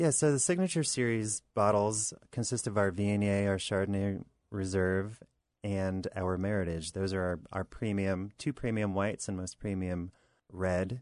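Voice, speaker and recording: Against a quiet background, a man with an American accent talks at a moderate pace with ordinary pitch variation in a normal speaking voice. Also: fairly low pitch for a man. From Southern New York. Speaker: winemaker. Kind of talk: interview answers. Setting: radio studio.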